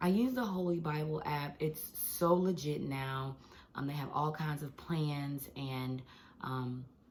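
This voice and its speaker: Speaking at a very slow pace, a woman with a very deep, low pitch and ordinary pitch variation is heard with audible room echo. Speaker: teacher and devotional vlogger. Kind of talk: casual devotional vlog. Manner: animated.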